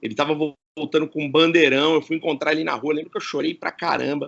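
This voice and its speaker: This man's pitch is fairly high. He talks at a very fast pace. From Campinas, São Paulo state, Brazil. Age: 40s. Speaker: radio presenter. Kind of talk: casual interview chat. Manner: animated.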